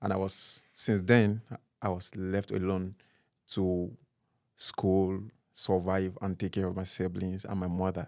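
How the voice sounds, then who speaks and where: A man with a Nigerian accent speaks at a very deep, low pitch in a monotone, flat way, at a fairly slow pace with long, frequent pauses, in a very clean recording with a silent background. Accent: Nigerian (Yoruba) English. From Nigeria, Oyo State (Yoruba). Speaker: interview guest, fashion designer. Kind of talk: interview. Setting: studio.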